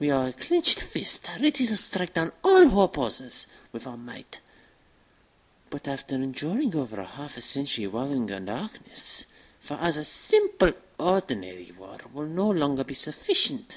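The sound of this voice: A woman's put-on character voice, low-pitched with a slightly husky edge and big pitch swings. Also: moderate pace.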